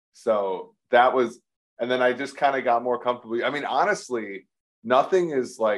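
A man uses a normal speaking voice, keeping a moderate pace and ordinary pitch variation. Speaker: podcast host. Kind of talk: casual chat.

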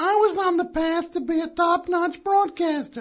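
A man in a put-on character voice at an extremely high pitch. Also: moderate pace. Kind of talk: polished announcer delivery. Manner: fake, exaggerated.

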